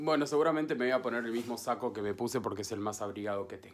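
A man talks at a very fast pace with ordinary pitch variation. Light background noise is present. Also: medium pitch for a man, big swings in loudness. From Argentina. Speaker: voice-over announcer. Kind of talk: casual travel vlog talk to camera. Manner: chatty, upbeat. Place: home room. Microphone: webcam.

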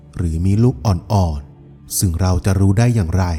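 Over music in the background, a man speaks at a very deep, low pitch with ordinary pitch variation. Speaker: voice-over artist. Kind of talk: documentary-style folklore narration.

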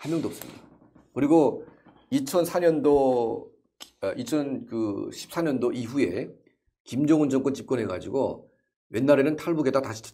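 Lively intonation and a dark, mellow tone carry at a fairly slow pace over a quiet background. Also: man. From North Korea. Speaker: North Korean defector and activist; interview guest. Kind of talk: interview. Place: studio. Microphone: lapel.

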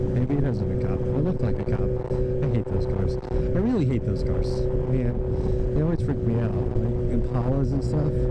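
At a moderate pace, a man talks in a dry sound with no echo. Loud background noise fills the recording. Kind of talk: casual vlog chat. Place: motorbike. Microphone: helmet.

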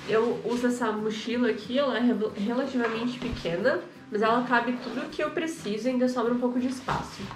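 Noticeable background noise runs under this recording. A woman with a high pitch talks with ordinary pitch variation. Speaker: channel co-host. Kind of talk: casual conversation, show-and-tell. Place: studio.

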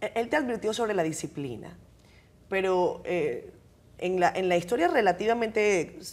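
This is a woman speaking. She takes a fairly slow pace. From Dominican Republic. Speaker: TV host. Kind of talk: interview. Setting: studio. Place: studio. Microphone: lapel.

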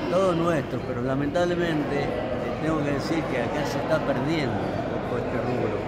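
Over loud background noise, a man speaks at a moderate pace with hardly any pauses. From Argentina. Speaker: gaucho-style folk reciter. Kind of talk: interview answer. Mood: proud, a bit nostalgic. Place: hall. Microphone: phone near.

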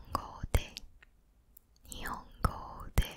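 Whispering comes from a woman. She keeps a fairly slow pace. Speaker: ASMR creator. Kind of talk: ASMR counting to sleep. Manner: soft, whispered. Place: home room. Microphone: studio mic.

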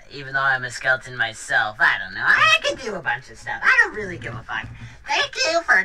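Someone performs a put-on character voice at a fairly quick pace over clear background noise. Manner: mock-menacing, flippant.

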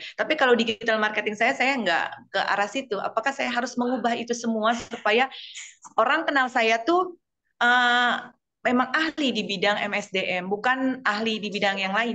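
Against a quiet background, a woman with a bright, sharp tone speaks at a moderate pace with ordinary pitch variation. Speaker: audience participant, lecturer; lecturer. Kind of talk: Q&A question. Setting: video call. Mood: polite, slightly nervous. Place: home room. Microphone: video call.

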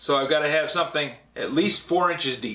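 The man's tone is bright and sharp. He talks at a fairly quick pace with fairly even intonation. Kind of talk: tutorial. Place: workshop.

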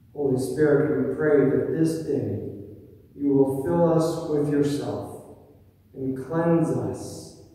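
Amid strong room echo, a man speaks at a very slow pace with ordinary pitch variation. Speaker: pastor leading worship. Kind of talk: spoken prayer. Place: church.

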